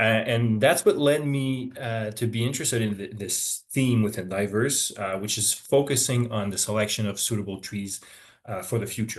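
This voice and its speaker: A man with a Quebec accent, medium pitch, moderate pace and ordinary pitch variation. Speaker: forestry professor. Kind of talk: webinar lecture. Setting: online webinar. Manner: hesitant, many fillers.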